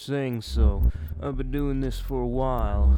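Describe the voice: Someone does plain reading aloud.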